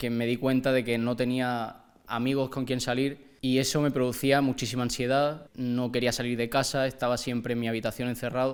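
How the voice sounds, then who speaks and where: A man's fairly quick delivery in a monotone, flat intonation. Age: 20s. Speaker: young person sharing personal story. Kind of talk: testimony.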